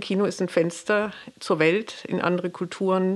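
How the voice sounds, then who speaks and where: The speech is very slow, delivered in a monotone, flat intonation. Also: woman. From Pforzheim, Baden-Württemberg, Germany. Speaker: community cinema director. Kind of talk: interview.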